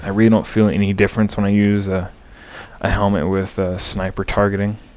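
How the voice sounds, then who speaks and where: Quiet and in a monotone with flat intonation, a man speaks fairly quickly at a fairly low pitch amid noticeable background noise. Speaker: gaming YouTuber. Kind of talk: casual channel update. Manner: hesitant, with fillers.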